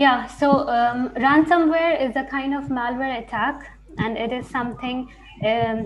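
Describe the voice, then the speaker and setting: With noticeable background noise behind her, a woman speaks fairly slowly in a high pitch with fairly even intonation. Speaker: research scientist giving a webinar. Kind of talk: webinar talk.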